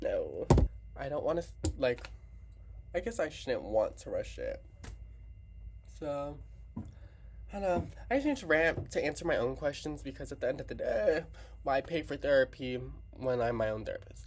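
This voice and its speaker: At a moderate pace, a man speaks with long, frequent pauses. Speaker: vlogger. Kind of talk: casual vlog rant. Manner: loud; animated.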